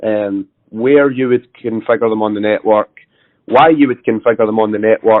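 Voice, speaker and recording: The speaker has a Scottish accent and a moderate pace. Intonation stays fairly even. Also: man, medium pitch for a man. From Scotland. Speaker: network engineer. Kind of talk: casual discussion.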